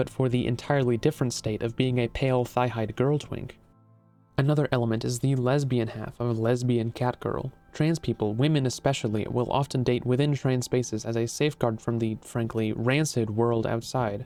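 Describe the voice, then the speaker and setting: With music in the background, a man speaks at medium pitch and a moderate pace, his intonation fairly even. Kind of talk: video essay narration.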